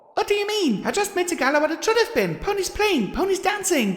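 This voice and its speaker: A put-on character voice, squeaky and extremely high in pitch, rattles along at a very fast pace over light background noise. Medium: read story. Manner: giggly, bubbly.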